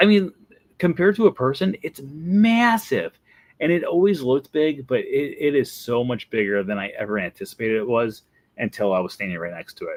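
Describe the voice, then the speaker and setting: A man's fairly high voice at a fairly quick pace, very wide pitch swings, big swings in loudness, dry, close sound with no echo, and a very clean recording with a silent background. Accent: Wisconsin. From Wisconsin. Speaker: Disney vlogger. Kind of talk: casual video commentary.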